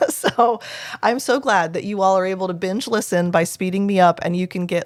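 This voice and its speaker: Here is a woman with a normal speaking voice at medium pitch. She talks at a fairly quick pace. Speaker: play therapist and podcast host. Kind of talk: solo podcast advice episode.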